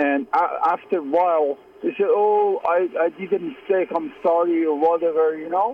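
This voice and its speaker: At a moderate pace, a man speaks in a high voice with a tired tone. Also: ordinary pitch variation, hardly any pauses. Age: 50s. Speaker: caller. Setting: phone call. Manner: tired and frustrated.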